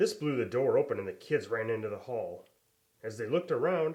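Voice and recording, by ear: Reading aloud in a natural voice, set against a quiet background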